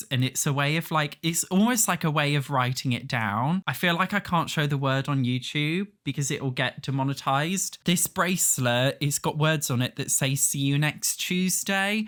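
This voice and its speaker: An English accent on a very clean recording with a silent background. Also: moderate pace, hardly any pauses. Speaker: YouTuber. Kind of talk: video diary rant. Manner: loud.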